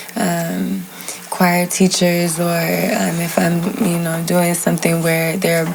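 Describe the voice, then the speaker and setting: A woman's pitch sits fairly low. Behind her, background noise is clearly audible. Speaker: singer. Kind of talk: casual chat.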